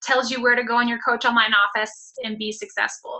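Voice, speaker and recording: At a moderate pace, a woman talks in a high voice. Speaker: fitness business coach. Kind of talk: team call talk.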